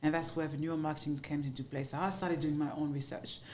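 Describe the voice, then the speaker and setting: Someone speaks in a French accent with monotone, flat intonation. Audible echo comes from the room. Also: woman. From France, Paris. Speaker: marketing agency founder. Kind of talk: podcast interview.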